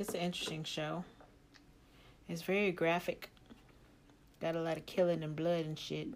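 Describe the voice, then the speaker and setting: At a moderate pace, a woman speaks in a fairly low, monotone voice with flat intonation and long, frequent pauses. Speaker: solo podcaster and singer. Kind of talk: casual solo monologue. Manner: low-energy, relaxed; halting with many fillers.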